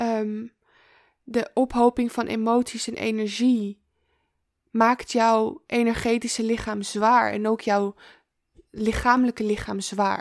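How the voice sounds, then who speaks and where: A woman's fairly high voice in a monotone, flat intonation, very slow with long, frequent pauses, dry and close with no echo, on a very clean recording against a silent background. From Amsterdam, Netherlands. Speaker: feminine embodiment coach. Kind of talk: interview conversation. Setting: in person.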